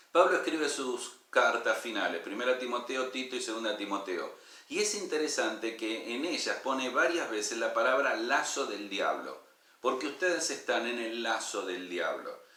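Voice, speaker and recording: There is noticeable background noise and audible room echo. Through it, a man speaks at a moderate pace. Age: 60s. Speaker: pastor. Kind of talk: sermon.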